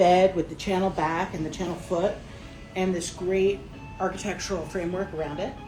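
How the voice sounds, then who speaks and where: A woman with a medium pitch is heard through noticeable background noise and audible room echo. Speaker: interior designer. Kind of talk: showroom walkthrough. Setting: trade show showroom. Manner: enthusiastic. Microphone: muffled by face mask.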